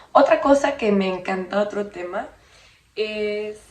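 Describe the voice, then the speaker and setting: With an American accent, a woman speaks at a medium pitch with ordinary pitch variation against noticeable background noise. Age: 20s. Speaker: podcast host. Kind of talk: casual monologue. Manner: bilingual code-switching, animated. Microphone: poor audio quality.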